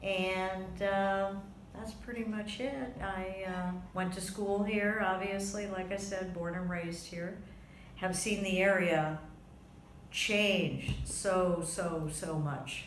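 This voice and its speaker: A woman with an American accent speaks at a very slow pace with fairly even intonation. Noticeable background noise and audible room echo fill the recording. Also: medium pitch for a woman. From US South, Florida (West Palm Beach). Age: 60s. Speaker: interviewee, grandmother. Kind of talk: oral history interview.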